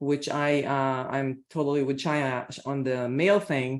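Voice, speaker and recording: An Israeli accent in a very clean recording with a silent background. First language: Hebrew. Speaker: scholar, translator on panel. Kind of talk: panel presentation at academic colloquium. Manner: halting, many fillers and repetitions.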